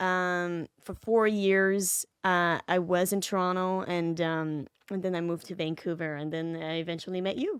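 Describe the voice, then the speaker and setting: In a slight French Canadian accent, a woman of medium pitch speaks at a moderate pace, recorded very cleanly, dry and close with no echo and a silent background. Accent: faint French Canadian. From Quebec. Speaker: actress. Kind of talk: casual interview. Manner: halting, many restarts.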